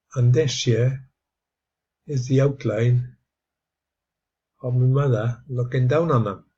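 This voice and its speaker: A man with an English accent, somewhat breathy, at a medium pitch and very slow pace, with fairly even intonation and long, frequent pauses. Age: 70s. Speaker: video blogger. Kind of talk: casual monologue. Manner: halting, many fillers.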